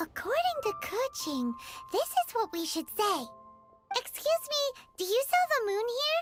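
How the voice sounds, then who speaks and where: An extremely high put-on character voice swings very widely in pitch at a moderate pace. Faint music plays in the background. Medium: video game. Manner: energetic, exclamatory.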